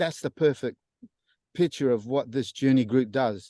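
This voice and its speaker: Dark and mellow in tone, the voice moves at a moderate pace with ordinary pitch variation, sounding dry and close with no echo against a quiet background. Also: man. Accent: Australian. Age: 60s. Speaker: church member sharing testimony. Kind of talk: testimony. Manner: halting, many fillers.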